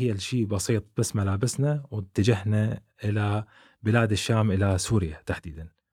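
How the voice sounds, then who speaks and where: In a very clean recording with a silent background, a normal speaking voice proceeds at a moderate pace. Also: man. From Iraq, Baghdad. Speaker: YouTuber, immigrant. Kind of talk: interview testimony.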